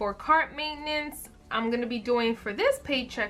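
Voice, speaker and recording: This woman's voice is raised and projected, with a bright, sharp tone. Her intonation is lively and her pace moderate. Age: 20s. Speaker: budgeting video creator. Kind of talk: casual how-to talk to camera.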